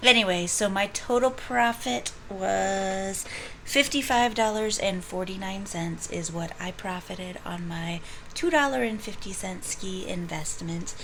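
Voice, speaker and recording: Audible room echo surrounds a woman at medium pitch. Her intonation is lively and her pace fairly slow. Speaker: full-time reseller, video blogger. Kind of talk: casual vlog.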